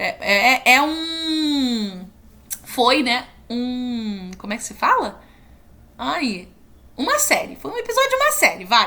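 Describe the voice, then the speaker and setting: Speaking at a very slow pace, a woman leaves long, frequent pauses and shows big swings in loudness. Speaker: university student. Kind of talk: tutorial. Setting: screen recording at computer. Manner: halting.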